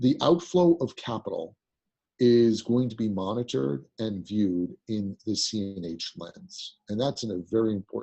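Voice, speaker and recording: A man's unremarkable speaking voice at a moderate pace with ordinary pitch variation. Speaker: currency markets executive. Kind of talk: webinar presentation.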